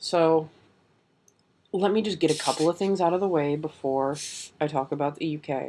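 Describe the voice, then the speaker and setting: The recording is very clean, with a silent background. A soft-spoken voice moves at a moderate pace, broken by long, frequent pauses. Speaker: vlogger. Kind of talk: casual vlog. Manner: speaking softly.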